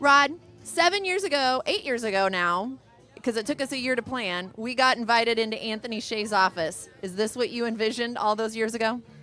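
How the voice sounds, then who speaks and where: A woman's fairly high-pitched voice at a fairly quick pace, with music in the background. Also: lively intonation. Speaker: event emcee. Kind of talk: live event hosting. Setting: outdoor pier with crowd. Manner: loud.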